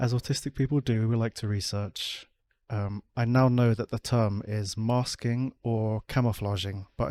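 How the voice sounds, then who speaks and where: A man with a British accent speaks at a medium pitch in a dark, mellow tone. The sound is dry and close with no echo, in a very clean recording with a silent background. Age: 30s. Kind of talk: personal vlog talk. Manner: monotone; effortful inflection.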